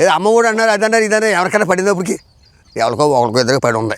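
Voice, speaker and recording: A man is speaking here. His voice sits high in pitch. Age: old. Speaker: farmer. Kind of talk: interview answer. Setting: outdoors.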